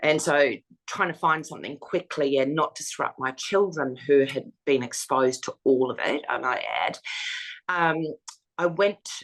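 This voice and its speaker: A woman with an Australian accent, a very deep, low pitch, ordinary pitch variation and a fairly slow pace. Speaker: domestic violence survivor and foundation founder. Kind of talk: interview testimony. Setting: interview. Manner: hesitant fillers.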